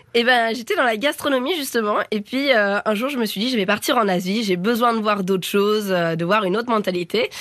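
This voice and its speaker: Her fairly quick delivery has hardly any pauses, and this woman's pitch shows ordinary variation. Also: fairly high pitch for a woman. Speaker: cooking competition contestant. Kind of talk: interview. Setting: studio. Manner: animated.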